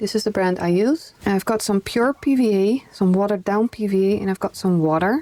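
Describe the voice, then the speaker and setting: A woman speaks with a strong Dutch accent and ordinary pitch variation. The sound is dry and close with no echo. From Netherlands. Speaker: craft YouTuber. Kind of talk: tutorial. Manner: casual, conversational.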